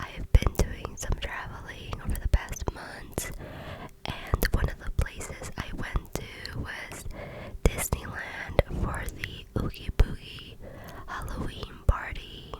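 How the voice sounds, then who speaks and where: The words come out as a whisper, very slowly. Noticeable noise fills the background. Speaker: ASMR creator. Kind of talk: ASMR vlog voiceover. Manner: whispered.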